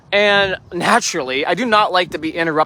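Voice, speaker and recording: At a moderate pace, a raised, projected voice carries a bright, sharp tone and lively intonation. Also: man. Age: 30s. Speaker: livestreamer. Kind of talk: casual chat. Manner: halting.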